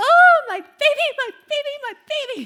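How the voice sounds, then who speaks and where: In a put-on character voice, a woman squeaks at an extremely high pitch, swinging her pitch very widely at a moderate pace. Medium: stage play. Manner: exaggerated, dramatic.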